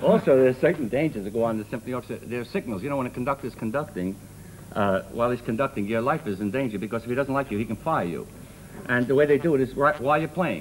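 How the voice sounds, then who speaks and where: Someone with a Brooklyn accent talks at a very fast pace with ordinary pitch variation. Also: man. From Brooklyn, New York (Brownsville). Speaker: comedian. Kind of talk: talk show comedy chat.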